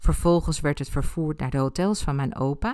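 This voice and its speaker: The recording is very clean, with a silent background behind the woman talking. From Ibiza, Spain. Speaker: astrologer and podcaster. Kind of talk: personal storytelling monologue.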